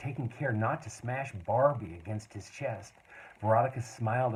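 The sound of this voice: An unforced reading voice is heard in this recording.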